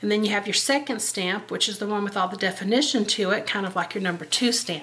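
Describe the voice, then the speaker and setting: With noticeable background noise present, a woman's medium-pitched voice shows ordinary pitch variation. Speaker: card-making crafter. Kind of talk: craft tutorial. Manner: casual, chatty.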